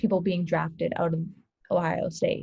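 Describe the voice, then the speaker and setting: This woman's voice carries a dark, mellow tone. It also sounds somewhat breathy. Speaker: sports podcast co-host. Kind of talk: casual chat.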